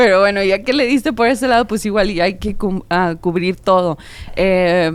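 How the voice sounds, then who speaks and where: At a moderate pace and medium pitch, a woman talks in an unremarkable speaking voice with ordinary pitch variation. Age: young. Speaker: podcast co-host. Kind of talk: casual chat.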